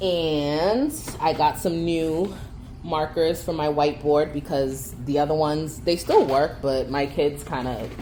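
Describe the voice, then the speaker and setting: A woman's very deep, low pitch and fairly even intonation come through noticeable background noise. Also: fairly slow pace. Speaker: homeschooling mom and channel host. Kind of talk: casual haul and chat to camera.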